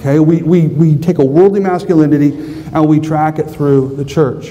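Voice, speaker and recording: Audible room echo and noticeable background noise surround a man with an American accent. He speaks at a moderate pace with a fairly high pitch and fairly even intonation. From US West, southern Idaho. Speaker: conference speaker, pastor-theologian. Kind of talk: conference talk.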